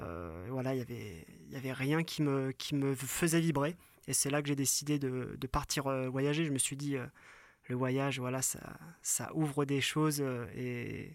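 A man at a medium pitch, fairly slow pace, ordinary pitch variation, and long, frequent pauses. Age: 30s. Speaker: photographer. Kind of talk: casual chat. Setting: in a yurt.

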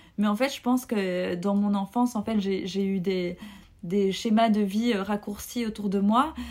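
Speaking at a fairly slow pace, a woman uses a medium pitch. Her intonation stays fairly even. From Belgium. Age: 30s. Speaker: podcast guest sharing personal story. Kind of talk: personal testimony. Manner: hesitant, many fillers.

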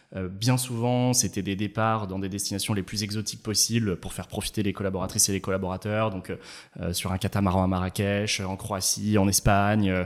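A man talks at a fairly quick pace. His fairly low voice stays flat and monotone. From France, Ain department near Geneva. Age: 30s. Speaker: startup founder and CEO. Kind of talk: casual interview.

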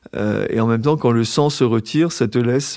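A man with an ordinary speaking voice talks at a moderate pace and medium pitch with fairly even intonation, on a very clean recording with a silent background. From Brittany, Brest. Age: 50s. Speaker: former journalist living with hemophilia. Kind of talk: casual interview while walking. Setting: outdoors on a walking trail, then café.

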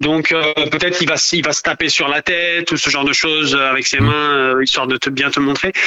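Noticeable background noise runs under a man speaking. He keeps a moderate pace with ordinary pitch variation. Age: 30s. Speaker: parent guest. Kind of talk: casual chat. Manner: halting.

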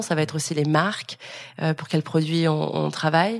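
The speaker is a woman with a very deep, low pitch. She goes at a moderate pace. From France, Lyon. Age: 30s. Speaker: influencer and content creator. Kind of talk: interview. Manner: casual, hesitant with many fillers.

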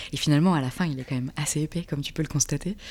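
Speaking at a very fast pace, a woman uses a very deep, low pitch and a dark, mellow tone. The recording is very clean, with a silent background. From France, Reims (Champagne). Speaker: artist and graphic designer. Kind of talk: casual interview conversation. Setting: at the guest's home.

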